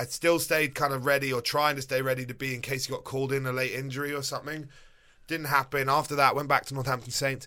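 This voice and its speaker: Very fast and monotone, a man with fairly high pitch and a bright, sharp tone speaks on a very clean recording with a silent background. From England. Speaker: retired rugby player. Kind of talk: interview.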